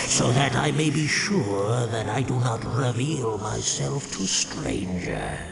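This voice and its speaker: A put-on character voice at a fairly slow pace, with clear echo and loud background noise. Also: man, medium pitch for a man. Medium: machinima. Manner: formal, archaic, solemn.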